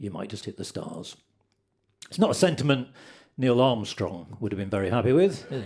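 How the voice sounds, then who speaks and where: With very wide pitch swings and long, frequent pauses, a man of medium pitch talks at a fairly quick pace. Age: 60s. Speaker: comedian. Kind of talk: stand-up. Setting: stage with audience.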